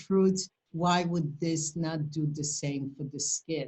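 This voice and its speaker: At a very slow pace, a woman speaks with a somewhat breathy voice and fairly even intonation. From Poland. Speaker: esthetician and skincare company founder. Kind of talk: educational presentation. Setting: video call webinar.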